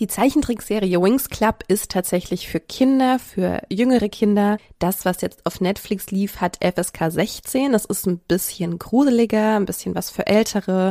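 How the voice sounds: A woman's medium-pitched, dark, mellow voice at a moderate pace, with ordinary pitch variation, few pauses, and a dry, close sound with no echo on a very clean recording with a silent background.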